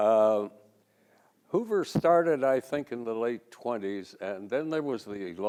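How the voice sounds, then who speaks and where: A man with an American accent, medium pitch, dark and mellow tone, lively intonation and a fairly slow pace. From Glendale, California. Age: 80s+. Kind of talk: talk with photos at library event.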